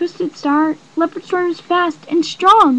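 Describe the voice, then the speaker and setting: At a fairly slow pace, a woman puts on a character voice that is timid in tone and extremely high in pitch. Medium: read story. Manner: timid, submissive.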